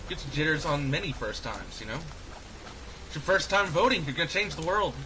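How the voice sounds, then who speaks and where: The speaker talks at a fairly quick pace. Audible room echo and noticeable background noise fill the recording. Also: man. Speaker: gaming youtuber. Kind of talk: let's play commentary. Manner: stumbling over words; slightly slurred. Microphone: poor audio balancing.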